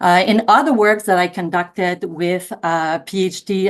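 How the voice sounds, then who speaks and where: With an unremarkable speaking voice, a woman speaks at a fairly low pitch with fairly even intonation. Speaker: academic researcher. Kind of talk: panel discussion.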